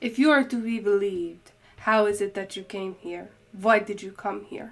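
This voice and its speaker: This is a put-on character voice. It keeps a moderate pace. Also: woman, medium pitch for a woman. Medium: read story. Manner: cool, unimpressed.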